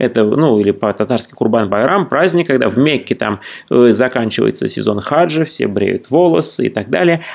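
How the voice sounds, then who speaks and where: A man talks at a moderate speed, his intonation lively and his voice showing vocal fry. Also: medium pitch for a man. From Russia. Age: 40s. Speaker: traveller and writer. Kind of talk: interview.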